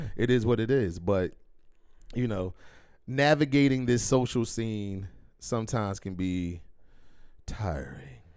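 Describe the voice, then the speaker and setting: A man's fairly low voice at a fairly slow pace, with lively intonation and long, frequent pauses. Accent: American. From Philadelphia, US. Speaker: podcast host. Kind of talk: casual chat.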